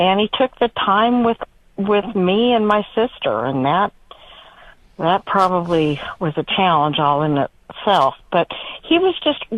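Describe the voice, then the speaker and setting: A woman with an American accent talks at a fairly slow pace, with a medium pitch, lively intonation and very even loudness. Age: 60s. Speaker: caller. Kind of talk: phone-in call. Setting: phone call. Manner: halting.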